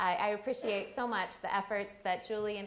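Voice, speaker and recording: At a moderate pace, a woman with a fairly high pitch speaks amid audible room echo. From US college town. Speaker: career author and consultant. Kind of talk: lecture. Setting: campus talk with audience. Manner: loud.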